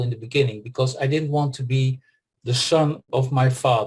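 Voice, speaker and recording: Somewhat breathy, a man talks with a Dutch accent and ordinary pitch variation. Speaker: pharmacist and former pharma executive. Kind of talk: interview testimony. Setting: group call. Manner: hesitant, many fillers.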